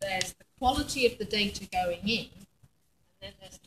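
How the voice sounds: A woman's medium-pitched voice with a husky, rough edge.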